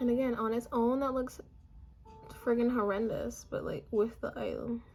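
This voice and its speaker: A woman talks at a moderate pace. Behind her, music is playing. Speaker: beauty YouTuber. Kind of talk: tutorial. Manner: monotone; casual, chatty.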